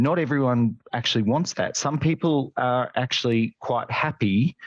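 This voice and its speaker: A man with an Australian accent, medium pitch and ordinary pitch variation, fairly slow pace, very even loudness, dry, close sound with no echo, and a quiet background. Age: 30s. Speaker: nurse and nursing lecturer. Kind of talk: casual chat.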